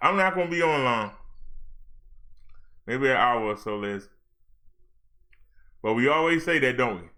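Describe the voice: Bright and sharp in tone, a man's medium-pitched voice moves with lively intonation at a fairly slow pace, broken by long, frequent pauses.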